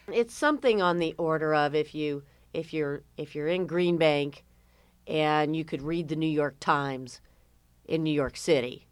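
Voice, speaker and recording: On a very clean recording with a silent background, a woman with an American accent speaks at a fairly slow pace with a very deep, low pitch and fairly even intonation. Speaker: radio host. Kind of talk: radio interview.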